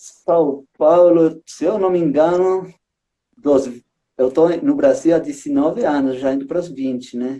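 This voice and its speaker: This man talks at a very slow pace with a dark, mellow tone. His pitch is fairly high, with ordinary variation. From Uruguay, Montevideo. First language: Spanish (speaking Portuguese). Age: 30s. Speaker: street circus artist, juggler. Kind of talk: casual chat. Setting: live stream.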